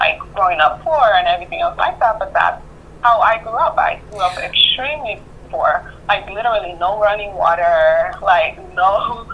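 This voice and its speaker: Over noticeable background noise, a woman with a slight Spanish accent speaks at a moderate pace, her fairly high pitch swinging very widely. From Honduras. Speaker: therapist. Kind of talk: therapy session. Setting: phone call.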